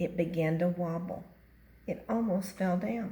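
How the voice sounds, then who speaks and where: A woman speaks at a fairly slow pace with fairly even intonation. Her voice is fairly low in pitch and somewhat breathy. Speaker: grandmother reading a picture book to her grandchild. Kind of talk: children's book reading.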